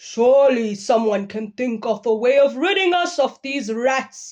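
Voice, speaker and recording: A put-on character voice with lively intonation at a moderate pace, over a quiet background. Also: woman, high pitch for a woman. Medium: read story. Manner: pompous.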